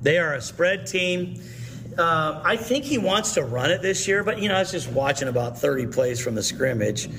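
The speech moves at a moderate pace with very wide pitch swings. Noticeable noise sits in the background. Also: man, fairly high pitch for a man. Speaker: high school football coach. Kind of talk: coach interview.

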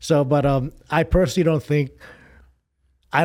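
In a very clean recording with a silent background, a man with an American accent and a fairly high pitch talks at a fairly quick pace in an ordinary speaking voice. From New York. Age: 50s. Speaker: fitness photographer. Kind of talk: casual chat.

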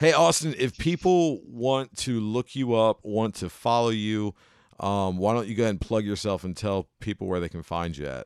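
A man with an American accent has a plain, everyday voice, fairly low in pitch, with lively intonation at a moderate pace. The sound is dry and close with no echo, in a very clean recording with a silent background. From Cincinnati, Ohio. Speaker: podcast host and comedian. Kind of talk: casual interview chat.

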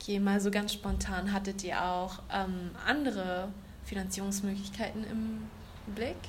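A fairly slow-paced woman amid noticeable background noise and audible room echo. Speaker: university student. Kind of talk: casual chat. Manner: occasional slips, more used to English.

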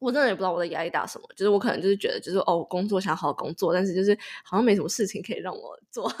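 Speaking very fast, a woman keeps her voice at a medium pitch. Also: ordinary pitch variation, big swings in loudness. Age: 20s. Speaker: podcast co-host, master's graduate. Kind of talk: casual chat.

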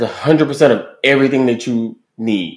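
The speaker uses an animated tone with ordinary pitch variation. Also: man. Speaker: podcast host. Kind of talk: casual chat.

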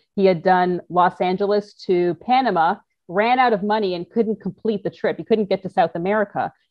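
A plain, everyday voice with a Canadian accent. The intonation stays fairly even. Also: woman. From Canada, Toronto. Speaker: motorcycle adventurer and entrepreneur. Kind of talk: interview storytelling. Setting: video call.

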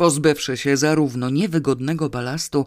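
Someone speaks at a moderate pace on a very clean recording with a silent background. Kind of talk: audiobook reading of a comic novel, narration with dialogue.

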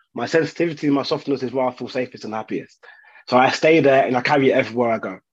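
This man speaks at a very fast pace. His medium-pitched voice keeps a fairly even intonation. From London, England. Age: 30s. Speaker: childcare specialist. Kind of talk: casual chat.

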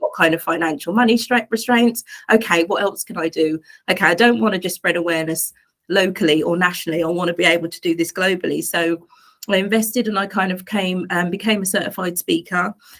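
In an East Anglian accent, a woman talks at a very fast pace. Her pitch is medium, with ordinary variation. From England, Suffolk. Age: 40s. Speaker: life coach and domestic abuse advocate. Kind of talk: interview testimony.

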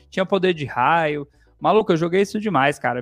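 A high-pitched man with ordinary pitch variation against a quiet background. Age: 30s. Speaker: podcast host about geek culture. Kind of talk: casual chat.

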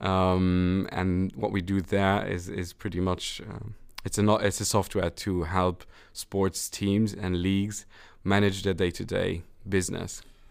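A man with a very deep, low pitch talks at a fairly slow pace in flat, monotone intonation. The recording is very clean, with a silent background. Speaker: tech company CEO. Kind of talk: interview. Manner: hesitant, many fillers.

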